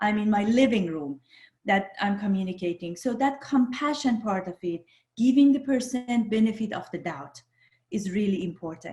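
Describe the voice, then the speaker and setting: Somewhat breathy and dark, mellow in tone, a woman with a non-native accent speaks at a moderate pace with very wide pitch swings. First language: not English. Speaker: social psychologist. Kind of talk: podcast interview.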